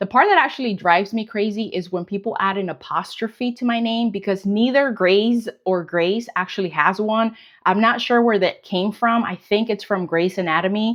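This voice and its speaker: Speaking at a moderate pace with hardly any pauses, a woman with a Spanish accent uses a medium pitch and ordinary pitch variation. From Colombia, then United States. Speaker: weight loss vlogger. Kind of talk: casual Q&A vlog.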